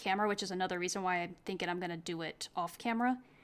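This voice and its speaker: A soft-spoken woman talks very fast with fairly even intonation. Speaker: hobby painter. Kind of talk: tutorial. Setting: home hobby desk. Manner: halting.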